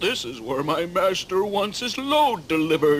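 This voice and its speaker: Over clear background noise, a man does a cartoonish character voice pitched high. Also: moderate pace. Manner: drawling, plain-spoken.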